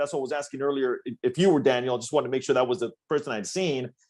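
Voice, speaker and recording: In a Spanish accent, the speaker goes at a very fast pace with lively intonation and an animated tone. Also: man. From Sonora, Mexico. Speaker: radio host. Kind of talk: casual chat.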